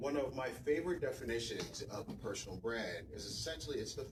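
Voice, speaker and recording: A man talks fairly quickly, with audible room echo and noticeable background noise in the recording. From West Africa. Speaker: tech professional, event speaker. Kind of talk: conference talk. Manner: soft-spoken.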